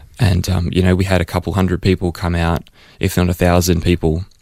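A man with an Australian accent delivers a very deep, low voice in a monotone at a fairly quick pace, on a very clean recording with a silent background. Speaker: missionary. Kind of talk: interview. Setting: studio.

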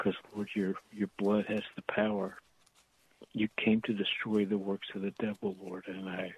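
A man talks at a moderate pace in a fairly low pitch. His intonation is flat and monotone. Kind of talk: fervent prayer. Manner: halting, repeating words, earnest.

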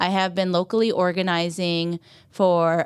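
In a plain, everyday voice, a woman with an American accent speaks fairly slowly at medium pitch on a very clean recording with a silent background. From Iowa, US Midwest (Clear Lake). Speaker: community organizer and mayoral candidate. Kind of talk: personal testimony.

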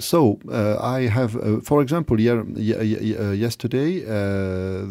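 In a French accent, a man speaks slowly-ish, at a fairly slow pace, with a fairly low pitch and a dark, mellow tone. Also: very clean recording, silent background. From France. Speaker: philosopher. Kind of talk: interview. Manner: halting.

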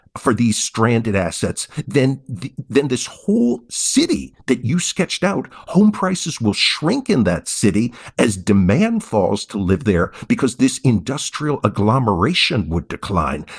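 A man's medium-pitched voice with vocal fry, very wide pitch swings, a fairly slow pace and hardly any pauses. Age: 50s. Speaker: economics professor. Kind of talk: interview.

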